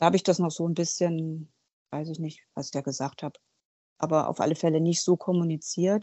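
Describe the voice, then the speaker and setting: At a moderate pace, a woman speaks at a fairly low pitch with monotone, flat intonation. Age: 40s. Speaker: guest sharing recovery from alcohol. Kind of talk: interview testimony. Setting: remote call from an office.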